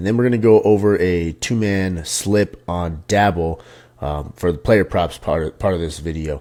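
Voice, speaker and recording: A soft-spoken man with a dark, mellow tone and ordinary pitch variation is heard in a very clean recording with a silent background. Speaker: sports betting tipster. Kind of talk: casual monologue. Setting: home. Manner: quiet, speaking softly. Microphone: very close to the microphone.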